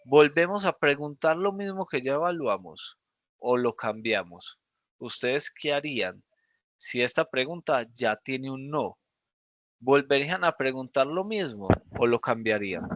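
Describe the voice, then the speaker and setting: Lively intonation from a man at a fairly high pitch and fairly slow pace, dry and close with no echo, against a quiet background. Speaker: programming teacher. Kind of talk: lecture. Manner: animated.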